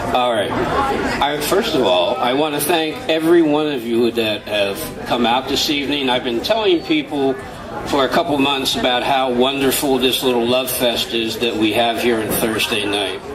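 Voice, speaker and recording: A man speaks with ordinary pitch variation and very even loudness, with crowd noise in the background and audible room echo. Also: medium pitch for a man, moderate pace. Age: 60s. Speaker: open mic performer. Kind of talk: heartfelt speech.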